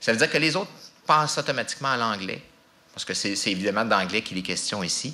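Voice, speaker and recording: A man at a very fast pace with lively intonation. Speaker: language office representative. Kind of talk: public talk. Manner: halting.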